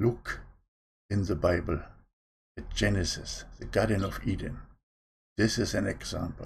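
Over a quiet background, a man speaks at a moderate pace with long, frequent pauses. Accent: non-native. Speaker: online preacher. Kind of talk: sermon. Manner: stammers at times. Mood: calm, earnest. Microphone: webcam.

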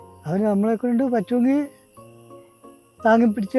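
Music plays in the background as a man speaks. His voice is extremely high for a man, with fairly even intonation. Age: 80s+. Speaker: farmer. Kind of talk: interview answer.

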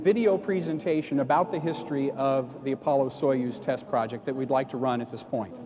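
A man keeps to a moderate pace with music playing behind his voice. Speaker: museum space historian and moderator. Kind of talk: panel moderation. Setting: stage with audience. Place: hall. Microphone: lapel.

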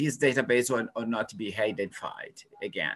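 Speaking fairly slowly, a man talks with a Portuguese accent. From Brazil. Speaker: epidemiology researcher; webinar panelist. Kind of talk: webinar presentation. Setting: video call. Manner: halting. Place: home room. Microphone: video call.

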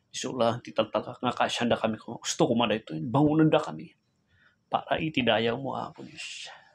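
The tone is intense. Vocal fry runs through the voice. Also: man. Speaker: preacher. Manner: fervent, pleading, emotionally intense, with heartfelt petitions; earnest, rhythmic, repetitive invocations of 'Apo Diyos'. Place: home room. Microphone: phone near.

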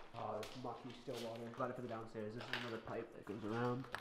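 A man speaking very fast over loud background noise. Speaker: vlogger exploring. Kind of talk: casual vlog chat. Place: factory. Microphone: phone near.

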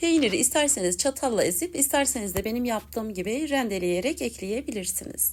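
A woman speaks with a fairly high pitch, a warm tone and vocal fry, her pitch swinging very widely. She goes at a fairly quick pace with hardly any pauses. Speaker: cooking youtuber. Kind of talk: cooking tutorial.

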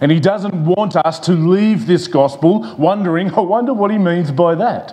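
A man is speaking at a fairly slow pace. His pitch varies in an ordinary way. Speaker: pastor. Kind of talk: sermon. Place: church. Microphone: lapel.

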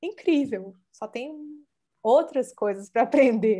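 A woman speaks very slowly in a dark, mellow tone. Her pitch swings very widely against a quiet background. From Brazil, Minas Gerais (Belo Horizonte); Minas Gerais, Brazil. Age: 40s. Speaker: art curator; interviewee. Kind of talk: interview. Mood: warm, animated. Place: home room. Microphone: earbuds.

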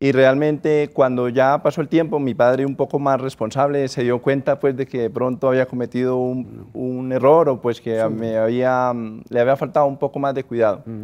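A man at a moderate pace, with fairly even intonation and hardly any pauses. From Colombia, Norte de Santander. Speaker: business owner; interviewee. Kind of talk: interview. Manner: halting. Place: studio. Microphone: lapel.

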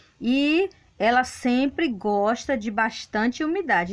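The background is quiet. A woman speaks with a high pitch. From Brazil, Bahia. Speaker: gardening video creator. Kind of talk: gardening tutorial; casual plant tour narration. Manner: casual, hesitant fillers. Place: garden. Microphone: phone near.

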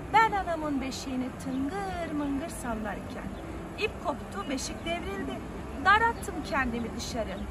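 Loud background noise surrounds a woman speaking at a very slow pace. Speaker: English teacher telling a folk tale. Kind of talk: storytelling. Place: waterside. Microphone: phone near.

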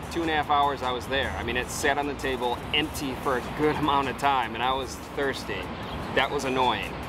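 Over music in the background, a man talks at a fairly quick pace, the sound dry with no echo. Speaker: food vlogger. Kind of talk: casual vlog review. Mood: mildly frustrated but positive. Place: street. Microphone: phone near.

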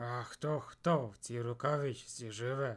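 A man puts on a soft-spoken character voice at a medium pitch, talking at a fairly slow pace. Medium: audio drama. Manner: quiet, soft for his size.

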